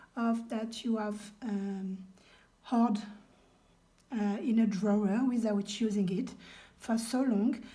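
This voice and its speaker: A woman speaks very slowly in a monotone, flat way, pausing long and often. Her voice is fairly high, somewhat breathy and dark and mellow in tone. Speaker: crafter, junk journal maker. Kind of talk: craft tutorial talk to camera. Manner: hesitant, with many fillers.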